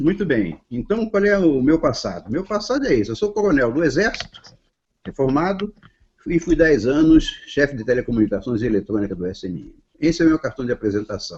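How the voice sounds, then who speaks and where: A fairly high-pitched man at a fairly quick pace, with very wide pitch swings and big swings in loudness. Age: 70s. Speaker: retired army colonel. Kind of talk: self-introduction in a panel discussion. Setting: online video call.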